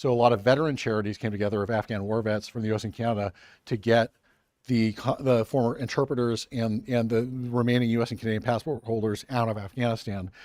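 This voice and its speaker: At a very fast pace and with fairly even intonation, a man speaks in a very clean recording with a silent background. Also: medium pitch for a man. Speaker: journalist and conference speaker. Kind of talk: conference talk. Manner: halting, many fillers and repetitions.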